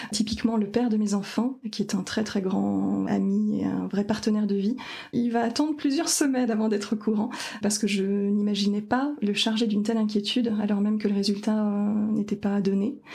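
Speech comes at a moderate pace with very even loudness and fairly even intonation. Noticeable background noise is present. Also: woman, fairly high pitch for a woman. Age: 30s. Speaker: cancer patient, sustainability engineer. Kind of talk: testimony. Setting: at the host's home.

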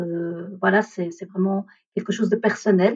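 This woman's medium-pitched voice stays monotone, with flat intonation throughout. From India, raised in Belgium from age 3. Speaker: energy therapist. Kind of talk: interview about personal story. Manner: hesitant, many fillers.

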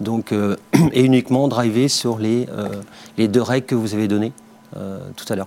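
A man talks at a moderate pace in a medium pitch, his intonation flat and monotone. His loudness swings widely, and he leaves long, frequent pauses. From Brittany, France. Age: 40s. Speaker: company CEO. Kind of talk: interview. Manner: halting, many fillers.

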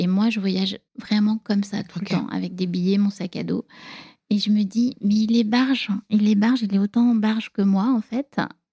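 Somewhat breathy with a dark, mellow tone, a woman speaks at a moderate pace in a dry, close sound with no echo. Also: medium pitch for a woman, fairly even intonation. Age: 40s. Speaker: divorced mother telling her love story. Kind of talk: personal storytelling interview.

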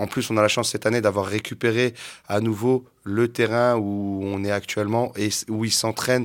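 A very clean recording with a silent background, a fairly slow pace and fairly even intonation. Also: man. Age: 30s. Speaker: youth football coach. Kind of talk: interview. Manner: halting.

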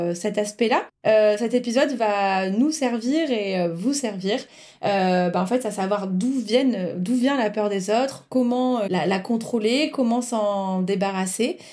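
On a very clean recording with a silent background, a woman speaks at a very slow pace, her pitch fairly high and its variation ordinary. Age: 30s. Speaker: podcast host. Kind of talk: interview.

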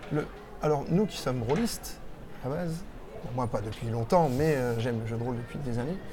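Speech at a fairly quick pace with long, frequent pauses comes through noticeable background noise and audible room echo. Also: man, medium pitch for a man, ordinary pitch variation. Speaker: podcast host, role-player. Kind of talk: casual interview. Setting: game festival venue.

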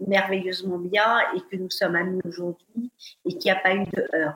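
This woman has medium pitch and fairly even intonation. Hers is an unremarkable speaking voice. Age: 50s. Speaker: fashion influencer. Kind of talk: interview.

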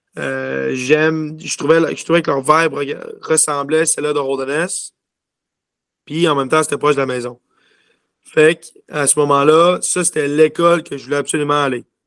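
With a Quebec accent, a man speaks in a monotone, flat delivery at a fairly high pitch, leaving long, frequent pauses. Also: moderate pace. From Quebec City. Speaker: junior hockey player. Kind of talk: interview. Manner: halting.

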